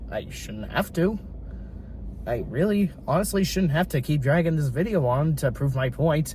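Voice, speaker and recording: A man's speech varies in pitch in an ordinary way and moves at a moderate speed. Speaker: YouTube commentator. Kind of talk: opinion monologue. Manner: animated.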